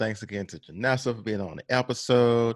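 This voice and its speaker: His is an unremarkable speaking voice, and the man moves along fairly quickly. The pitch varies in a normal way. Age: 30s. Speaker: podcast host. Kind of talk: casual chat.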